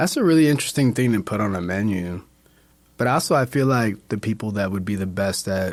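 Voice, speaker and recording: A man in a New York accent talks at a fairly quick pace, his fairly low voice full of lively intonation. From Brooklyn, New York. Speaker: bartender. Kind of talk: casual chat.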